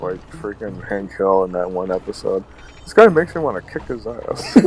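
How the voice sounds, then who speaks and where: There is noticeable background noise. A man's voice can be heard through it. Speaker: gaming streamer. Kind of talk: casual chat.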